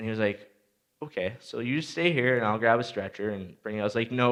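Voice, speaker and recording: With a Canadian accent, a man talks at a fairly quick pace in an ordinary speaking voice, medium in pitch with ordinary pitch variation, over a quiet background. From Saskatchewan, Canada. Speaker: motivational speaker, former junior hockey player. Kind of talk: motivational talk. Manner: casual, storytelling.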